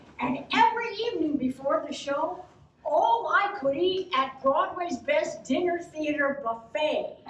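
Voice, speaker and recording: With very wide pitch swings, a woman speaks at an extremely high pitch and a fairly slow pace, with audible room echo and noticeable background noise. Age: 70s. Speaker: cabaret performer and actress. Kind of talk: storytelling stage show.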